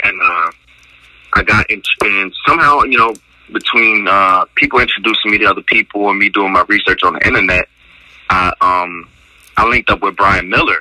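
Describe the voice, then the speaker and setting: Recorded dry and close with no echo over noticeable background noise, a man with an American accent talks at a moderate pace with very even loudness. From Trenton, New Jersey. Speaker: dog breeder. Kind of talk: interview. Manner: halting, many fillers and repetitions.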